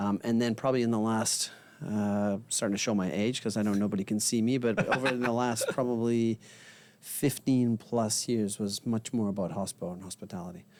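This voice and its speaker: Fairly quick speech from a man at medium pitch, with fairly even intonation. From Canada. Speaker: technology sales and marketing director. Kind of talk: casual interview. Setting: studio in a bar venue.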